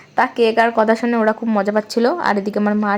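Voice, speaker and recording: With noticeable background noise behind her, a woman speaks at a fairly high pitch with fairly even intonation. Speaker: family vlogger. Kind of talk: vlog voice-over narration. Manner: casual, chatty.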